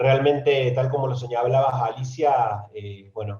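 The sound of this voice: A man's medium-pitched voice, slightly mellow in tone with a slightly husky edge, moves at a fairly slow pace.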